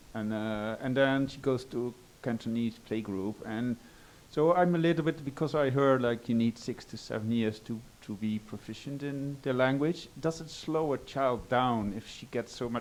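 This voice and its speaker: A man speaks with a Dutch accent at a moderate pace, using medium pitch and ordinary pitch variation. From Netherlands. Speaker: audience member, parent. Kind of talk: audience question. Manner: halting.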